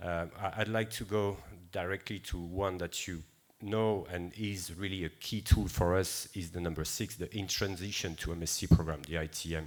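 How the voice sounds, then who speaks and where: A man with a French accent and a very deep, low pitch, at a moderate pace with fairly even intonation, on a very clean recording with a silent background. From France. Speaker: seafood certification director. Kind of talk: conference presentation. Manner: hesitant, many fillers.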